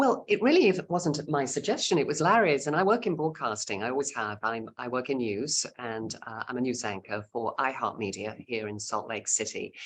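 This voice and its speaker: With a British accent, a woman talks at a moderate pace, hardly pausing at all. Her pitch is very deep and low, yet it swings very widely. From England, Cheshire. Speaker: radio news anchor and tour director. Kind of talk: casual chat.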